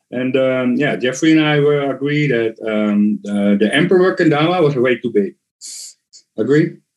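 A man talks with a Dutch accent at a moderate pace. His intonation is lively. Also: medium pitch for a man. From Netherlands. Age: 40s. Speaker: kendama player. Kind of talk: casual interview chat. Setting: at home in the Netherlands.

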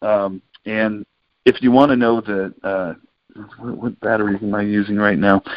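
A man speaks with an American accent in an ordinary speaking voice, at a fairly low pitch. His pace is moderate and his intonation fairly even. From US West Coast, San Francisco Bay Area. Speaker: children's musician. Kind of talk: interview. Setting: phone call.

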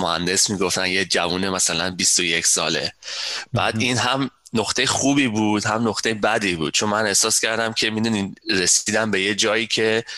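A man speaks with fairly even intonation. His loudness stays very even. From Iran. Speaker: software systems architect. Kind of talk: interview.

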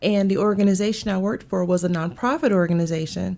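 A woman with a Southern US accent speaks at a fairly quick pace, medium pitch and ordinary pitch variation. The recording is very clean, with a silent background. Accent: Southern US (Georgia). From US South, Augusta, Georgia. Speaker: HR consultant, business owner. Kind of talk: casual interview.

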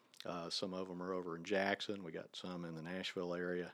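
A man's very deep, low voice at a very fast pace, monotone and flat, with a US Midwestern accent. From Ohio, near Dayton. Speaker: professor. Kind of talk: casual chat. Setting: in person, on location.

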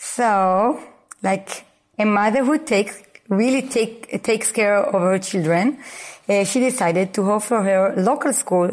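Speaking fairly slowly in an Israeli accent, a woman keeps a medium pitch with ordinary pitch variation. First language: Hebrew. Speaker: Montessori school founder and educator. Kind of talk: interview. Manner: halting.

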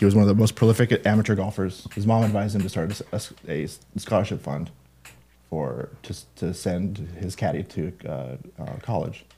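This man speaks at a fairly quick pace, his pitch fairly low with ordinary variation. His tone is dark and mellow, with vocal fry. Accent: American. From Washington state, US. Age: 40s. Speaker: scholarship program staff, former golf assistant pro. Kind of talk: casual interview.

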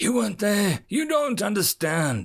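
A man puts on a character voice that is raspy, growling and wheezy, with a high pitch. He speaks at a moderate pace with very wide pitch swings. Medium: read story. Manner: menacing, snarling.

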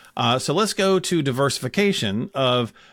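Medium in pitch with lively intonation, a man talks in an ordinary speaking voice. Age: 50s. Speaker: podcast co-host. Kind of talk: casual chat. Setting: video call.

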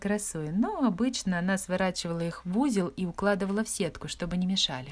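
The reading is done aloud in a natural voice, showing ordinary pitch variation.

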